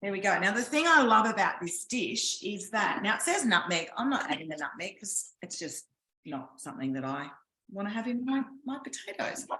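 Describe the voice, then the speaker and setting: Someone with an Australian accent talks at a moderate pace with very wide pitch swings. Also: woman, medium pitch for a woman. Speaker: cooking demonstrator. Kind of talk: live cooking class. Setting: home kitchen, online class.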